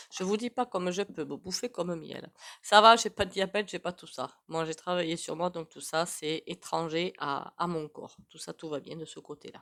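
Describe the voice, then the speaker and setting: With a dry, close sound and no echo, a woman with a fairly low pitch and a bright, sharp tone speaks at a moderate pace with ordinary pitch variation. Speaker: tarot reader and psychic. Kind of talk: casual chat to camera. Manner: hesitant, many fillers.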